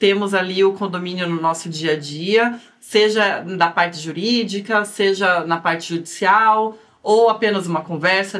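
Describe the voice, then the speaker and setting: A woman with a strong Curitiba accent and fairly even intonation. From Brazil, Curitiba. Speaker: lawyer, podcast co-host. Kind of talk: casual podcast introduction.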